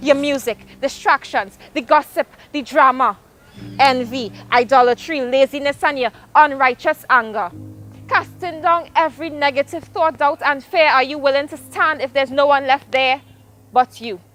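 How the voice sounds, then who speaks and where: A woman's high voice at a moderate pace, ordinary pitch variation, a dry, close sound with no echo, and music in the background. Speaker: spoken word poet. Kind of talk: spoken word poetry performance.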